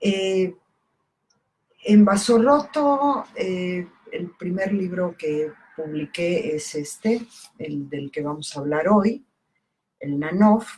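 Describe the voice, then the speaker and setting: Very slow and full of long, frequent pauses, a woman's medium-pitched voice carries lively intonation and big swings in loudness. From southern Mexico (Campeche). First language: Italian (speaking Spanish). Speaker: poet and book editor. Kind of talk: casual talk about her book. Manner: halting, many fillers.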